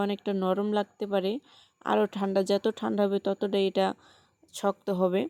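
The woman's voice sits at a medium pitch. Her intonation stays flat and monotone. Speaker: home cooking video creator. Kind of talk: cooking tutorial. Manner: halting, pausing often.

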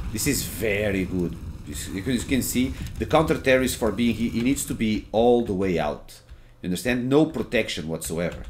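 Speaking with a Portuguese accent, a man keeps a moderate pace and medium pitch with lively intonation. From Portugal. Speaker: gaming streamer and tutorial maker. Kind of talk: gameplay tutorial. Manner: informal, filler-heavy.

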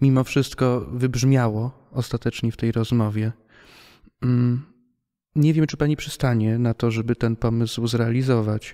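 Over a quiet background, a man speaks at medium pitch with a dark, mellow tone. His pace is fairly slow and his intonation fairly even. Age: 20s. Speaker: podcast host. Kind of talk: interview. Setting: theatre hall. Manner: formal. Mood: calm, respectful. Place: hall. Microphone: studio mic.

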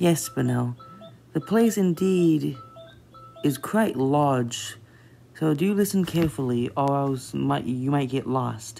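A put-on character voice moves at a slow pace with vocal fry and a dark, mellow tone. Faint music plays in the background. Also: woman, extremely low pitch for a woman, lively intonation.

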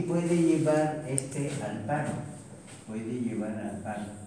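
Speaking at a very slow pace, a man uses lively intonation. Strong room echo and light background noise fill the recording. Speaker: physiology teacher. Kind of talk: lecture. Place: classroom. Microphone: camera far.

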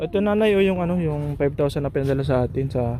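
This man speaks with a fairly high pitch. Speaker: charity vlogger. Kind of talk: vlog. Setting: at a family's home.

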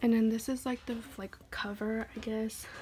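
The speech moves at a fairly slow pace. Light background noise is audible. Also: woman. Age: 20s. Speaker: YouTuber. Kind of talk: casual vlog flip-through. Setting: home recording. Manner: casual, hesitant with many fillers. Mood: relaxed, cheerful. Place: home room. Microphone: phone near.

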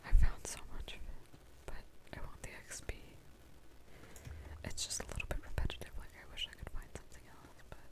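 A woman's whisper at a fairly quick pace, with long, frequent pauses, big swings in loudness and noticeable background noise. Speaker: ASMR gamer / content creator. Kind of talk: ASMR gameplay whisper ramble. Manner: whispered, soft-spoken.

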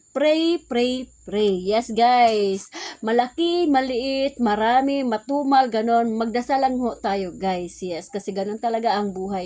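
A woman's fairly high voice with a dark, mellow tone, ordinary pitch variation and a fairly slow pace. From Visayas, Philippines. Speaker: vlogger and sari-sari store owner. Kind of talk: casual vlog talk.

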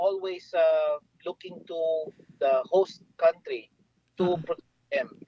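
This man's voice is high, with ordinary pitch variation. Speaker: government foreign affairs official. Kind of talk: radio phone interview.

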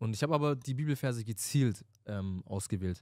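Over a quiet background, a man talks in a dark, mellow tone with ordinary pitch variation and a dry sound that has no echo. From Stuttgart, Germany; Germany. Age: 20s. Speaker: podcast co-host. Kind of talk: casual chat. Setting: studio. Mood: reflective, earnest. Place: studio. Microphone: handheld.

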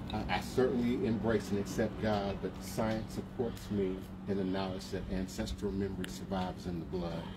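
A man at a moderate pace with ordinary pitch variation over loud background noise. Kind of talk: invocation speech. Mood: solemn, measured. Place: street. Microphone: camera far.

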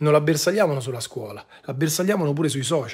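Against a quiet background, a man with a fairly high pitch and a somewhat breathy voice talks at a fairly quick pace with ordinary pitch variation. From Rome, Italy; Italy. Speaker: online commentator. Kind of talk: live-stream monologue. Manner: animated. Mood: indignant, earnest. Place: home room. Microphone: phone near.

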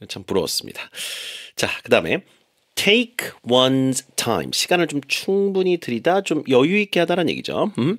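Man with a high pitch, lively intonation, moderate pace, and a dry, close sound with no echo. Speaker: radio English teacher. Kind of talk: radio English lesson.

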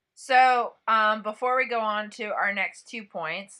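Bright and sharp, a woman's fairly high voice moves at a fairly slow pace with fairly even intonation. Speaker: podcast co-host. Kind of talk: casual chat.

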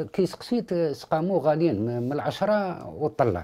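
Against a quiet background, a man with a high pitch and a dark, mellow tone speaks at a fairly slow pace with very wide pitch swings. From Algeria. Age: 50s. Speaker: father of a sick child. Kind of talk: interview testimony. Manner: halting. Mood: worried, pleading for help. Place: home room.

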